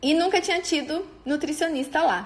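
Here a woman is speaking. She keeps a moderate pace. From Brazil, interior of São Paulo state near Paraná border. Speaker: nutritionist. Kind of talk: personal storytelling monologue. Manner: informal with frequent fillers.

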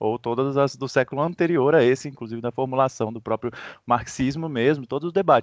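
A man's plain, everyday voice at a moderate pace, ordinary pitch variation, dry, close sound with no echo and a quiet background. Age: 30s. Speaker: ecosocialist activist. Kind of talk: interview.

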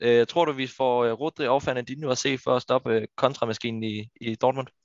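Speaking at a moderate pace, a man holds a medium pitch in a monotone, flat delivery. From Denmark, Funen. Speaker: football podcast host. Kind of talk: casual chat. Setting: virtual studio.

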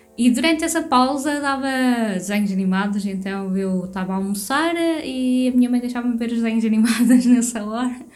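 A woman with a high voice talks at a fairly quick pace with hardly any pauses and ordinary pitch variation, amid noticeable background noise and audible room echo. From Portugal. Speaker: podcast co-host. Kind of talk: casual chat.

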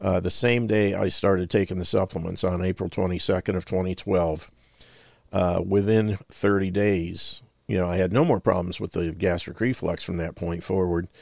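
On a very clean recording with a silent background, a man with a very deep, low pitch talks at a moderate pace with fairly even intonation. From northern Ohio, US. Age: 60s. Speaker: health supplement and nutrition advocate, veteran. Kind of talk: radio interview.

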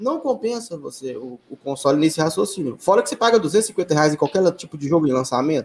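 A man with an ordinary speaking voice talks at a fairly quick pace and a fairly high pitch. His intonation is lively, and his loudness swings widely. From Brazil, Belo Horizonte. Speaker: sim racing league organizer and streamer. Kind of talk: casual interview.

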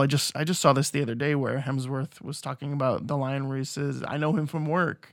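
Here is a man with a plain, everyday voice, fairly high in pitch and fairly even in intonation. He talks at a fairly quick pace on a very clean recording with a silent background. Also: hardly any pauses. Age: 40s. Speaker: podcast host. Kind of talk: casual chat.

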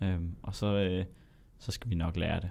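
A man talks at a moderate pace. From Denmark, Zealand. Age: 20s. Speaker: medical student. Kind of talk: interview. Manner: halting.

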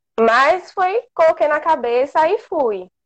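A woman speaks with ordinary pitch variation. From Brazil, inland Bahia. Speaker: veterinary student. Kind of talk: casual interview. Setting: Instagram live video call.

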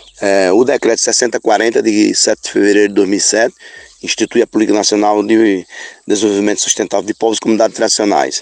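In a dry, close recording with no echo, a man speaks fairly quickly at a fairly low pitch, his intonation flat and monotone. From Rodela, Bahia, Brazil. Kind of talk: recorded audio message.

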